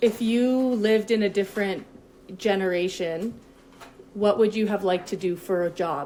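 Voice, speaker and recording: Here is a woman with an ordinary speaking voice. Her pitch is medium with ordinary variation, at a moderate pace. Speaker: podcast co-host. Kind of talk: interview question.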